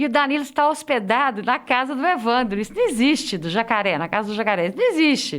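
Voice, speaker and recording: A woman speaks at a very fast pace with hardly any pauses. Her high voice swings very widely in pitch. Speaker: podcast host. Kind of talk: casual chat.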